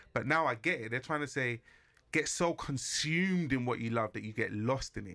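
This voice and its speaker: A man with a London accent talks at a moderate pace in a medium pitch, his tone bright and sharp with ordinary pitch variation. The recording is very clean, with a silent background. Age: 30s. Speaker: musician. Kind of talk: casual chat.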